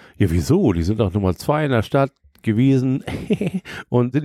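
Dry and close with no echo, a man's medium-pitched voice has a dark, mellow tone on a very clean recording with a silent background. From Hamburg. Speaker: DJ and podcaster, St. Pauli fan. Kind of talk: casual chat. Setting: recording in a shop with beer.

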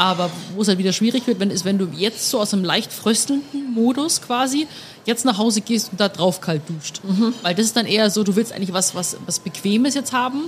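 Noticeable noise sits in the background. The talking is fairly quick, and the pitch varies in an ordinary way. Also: woman, fairly high pitch for a woman. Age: 20s. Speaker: podcast host. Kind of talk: casual chat. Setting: beer tent at the Oktoberfest.

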